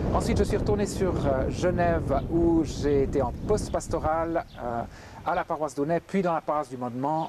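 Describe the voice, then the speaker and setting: There is noticeable background noise behind this man. He speaks at a moderate pace with fairly high pitch and ordinary pitch variation. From Geneva, Switzerland. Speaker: pastor. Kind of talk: interview testimony.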